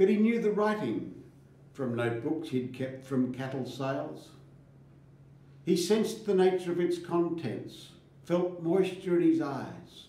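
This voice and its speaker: Over noticeable background noise, a man with a high pitch speaks at a fairly slow pace with lively intonation. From Australia. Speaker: farmer. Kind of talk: poetry reading.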